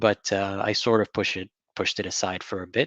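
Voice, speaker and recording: A man talks at a moderate pace in a fairly low pitch. The sound is dry and close, with no echo. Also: quiet background. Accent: Arabic. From Saudi Arabia. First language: Arabic. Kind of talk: interview. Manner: halting, many fillers.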